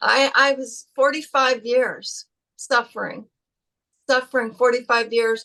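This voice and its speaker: A woman's raised, projected voice, high in pitch, with a bright, sharp tone. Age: 50s. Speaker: patient giving a testimonial. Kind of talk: testimony. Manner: halting, with repeated words; animated.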